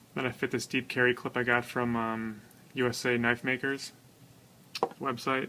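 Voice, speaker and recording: Noticeable background noise is present. A man talks at a fairly quick pace with a medium pitch and fairly even intonation. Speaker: knife reviewer. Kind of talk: product review. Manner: fast; casual with frequent fillers.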